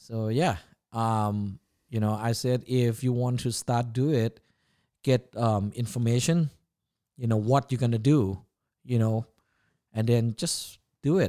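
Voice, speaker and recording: In a Thai accent, a man speaks at medium pitch with a dark, mellow tone and ordinary pitch variation, going fairly slowly with long, frequent pauses, on a very clean recording with a silent background and a dry, close sound with no echo. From Thailand, Chiang Mai. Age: 40s. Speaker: chef and food business owner. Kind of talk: casual interview. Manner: halting, many fillers.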